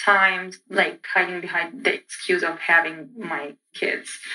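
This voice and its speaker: Speaking with an Egyptian accent, a woman talks at a fairly slow pace with fairly even intonation. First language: Arabic. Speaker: PhD student and lecturer. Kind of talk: interview testimony.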